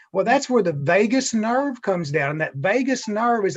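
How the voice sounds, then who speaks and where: A man speaks with an American accent and lively intonation. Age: 60s. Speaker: chiropractor. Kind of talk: interview.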